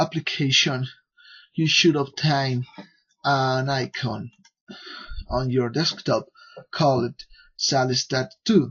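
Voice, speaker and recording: Fairly high in pitch and somewhat breathy, a man with a non-native accent speaks at a very slow pace. The background is quiet. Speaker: software developer. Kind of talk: software tutorial. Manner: halting, many fillers. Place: home room. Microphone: headset.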